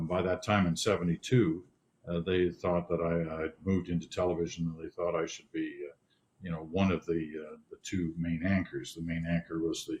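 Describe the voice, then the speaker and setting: A man's somewhat breathy, very deep, low voice, monotone and flat, at a moderate pace. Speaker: news anchor. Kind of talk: interview answer. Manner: calm.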